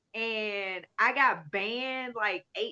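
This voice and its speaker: A loud, energetic woman's voice, fairly high in pitch, bright and sharp in tone, with ordinary pitch variation and a dry, close sound with no echo. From US South, Alabama. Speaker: livestreamer. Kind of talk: casual chat. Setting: livestream.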